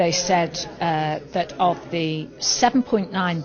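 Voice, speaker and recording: Very slowly and in a fairly low voice, a woman with a British accent speaks while music plays in the background. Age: 60s. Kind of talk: interview. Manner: animated.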